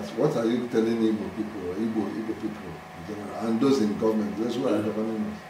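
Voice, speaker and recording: With audible room echo and noticeable background noise around him, a man talks at a very fast pace in a medium pitch with fairly even intonation. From Nigeria. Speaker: interviewer. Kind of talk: interview. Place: home room.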